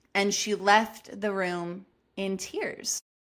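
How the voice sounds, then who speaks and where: A loud woman's voice, medium in pitch, with a bright, sharp tone. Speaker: podcast host. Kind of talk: storytelling monologue. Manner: animated.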